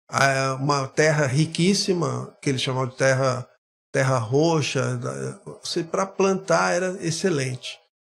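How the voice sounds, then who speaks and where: Here is a man with an unremarkable speaking voice and a medium pitch. He speaks at a fairly slow pace. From Brazil, Guarujá (São Paulo coast). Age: 60s. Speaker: historian. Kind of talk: podcast interview, personal life story.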